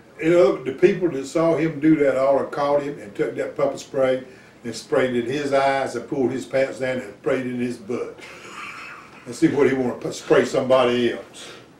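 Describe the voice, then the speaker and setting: A man's loudness swings widely. Audible room echo and noticeable background noise surround his voice. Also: medium pitch for a man, ordinary pitch variation, moderate pace. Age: 70s. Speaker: radio show host. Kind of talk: casual chat. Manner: animated.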